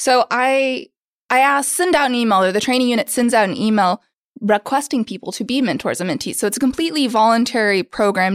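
A woman with an American accent has an unremarkable speaking voice and ordinary pitch variation. The recording is very clean with a silent background, dry and close with no echo. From Oklahoma. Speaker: training coordinator. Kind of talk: casual interview.

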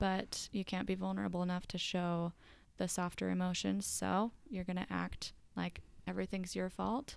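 In a very clean recording with a silent background, a woman speaks. She has an American accent and keeps a moderate pace. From US South, Georgia. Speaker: marriage and family therapist. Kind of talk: interview.

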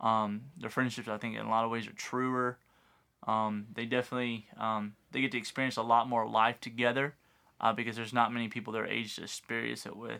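A man with a Texan accent speaks fairly quickly in a bright, sharp tone with monotone, flat intonation. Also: medium pitch for a man, very clean recording, silent background. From West Texas. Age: 30s. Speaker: high school football coach. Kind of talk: casual chat.

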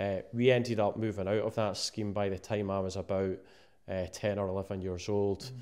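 A man with an eastern Scottish accent, fairly low pitch, moderate pace and monotone, flat intonation. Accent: east of Scotland Scottish. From Scotland, Musselburgh near Edinburgh. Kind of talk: casual interview. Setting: cold downstairs room. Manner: halting, many fillers and repeats.

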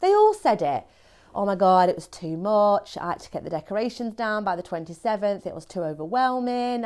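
A woman's unremarkable speaking voice, medium in pitch, with lively intonation. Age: 40s. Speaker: podcast host. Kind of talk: solo monologue. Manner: fast.

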